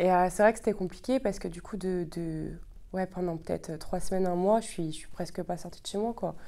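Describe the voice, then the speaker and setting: Her tone dark and mellow, a woman speaks at a fairly quick pace with fairly even intonation and big swings in loudness. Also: medium pitch for a woman. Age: 20s. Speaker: psychology graduate student. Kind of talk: testimony. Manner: hesitant, many fillers.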